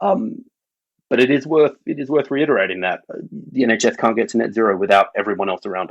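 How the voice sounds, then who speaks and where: Talking at a very fast pace, a man uses lively intonation at medium pitch. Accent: Australian. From Australia. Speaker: public health doctor and health service sustainability lead. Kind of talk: podcast interview.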